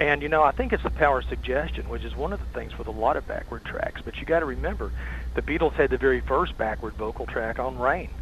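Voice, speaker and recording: Someone with a Tennessee accent talks at a very fast pace. There is noticeable background noise. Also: man. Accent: Southern US (Tennessee). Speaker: rock and roll historian and author. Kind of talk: casual interview chat.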